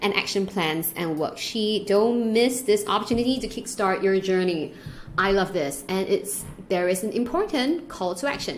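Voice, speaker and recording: The woman's voice sits at a medium pitch, with lively intonation and an animated tone. She keeps a moderate pace over noticeable background noise. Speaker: online business educator. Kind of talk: screen-share tutorial.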